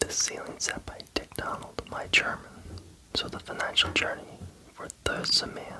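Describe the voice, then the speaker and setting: Someone is whispering. Noticeable background noise runs underneath. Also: moderate pace. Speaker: ASMR creator. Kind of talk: ASMR book reading. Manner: whispered.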